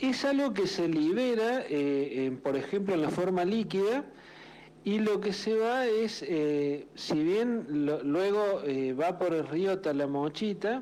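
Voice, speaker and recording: Speaking in a Córdoba accent, a man with a high pitch and a dark, mellow tone talks very slowly, with lively intonation and very even loudness. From Argentina, Córdoba. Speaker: journalist. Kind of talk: radio interview.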